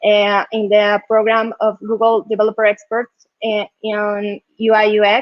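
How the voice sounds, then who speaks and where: Using a Colombian accent, a woman speaks at a fairly slow pace and a fairly high pitch. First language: Spanish. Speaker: UX designer and tech community leader. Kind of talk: conference talk. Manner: halting, many fillers and repetitions.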